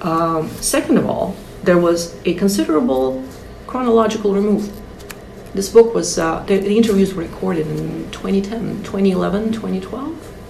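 In a Russian accent, a woman speaks at medium pitch with lively intonation. Audible room echo and noticeable background noise accompany her. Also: moderate pace. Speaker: translator and author. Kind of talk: interview.

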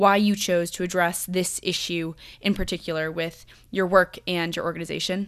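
Her medium-pitched voice, an unremarkable speaking voice, keeps to a moderate pace as this woman talks with fairly even intonation. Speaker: podcast host. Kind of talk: podcast interview.

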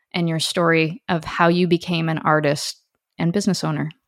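A woman with a Canadian accent has a plain, everyday voice at a fairly low pitch, speaking at a moderate pace with fairly even intonation. The recording is very clean with a silent background. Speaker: podcast host. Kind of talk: interview.

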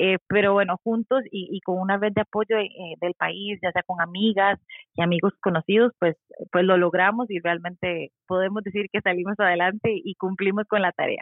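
A woman of medium pitch speaks with monotone, flat intonation, holding a moderate pace. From Costa Rica. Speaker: mother living abroad. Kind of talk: casual chat.

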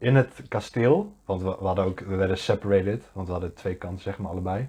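Against a quiet background, a man talks at a fairly quick pace. His fairly low voice has a dark, mellow tone and fairly even intonation. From Netherlands, Deventer. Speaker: podcast co-host. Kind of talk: casual chat.

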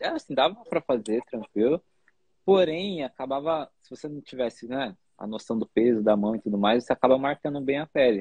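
This man has an unremarkable speaking voice, medium in pitch with ordinary variation, delivered at a fairly quick pace with big swings in loudness. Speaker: podcast host, tattoo artist. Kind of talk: interview. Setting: video call.

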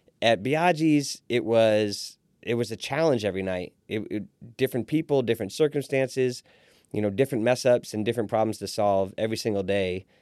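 Using a normal speaking voice, a man with an American accent talks at a fairly quick pace, medium pitch and ordinary pitch variation. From Fort Wayne, Indiana. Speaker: restaurant owner. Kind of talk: interview.

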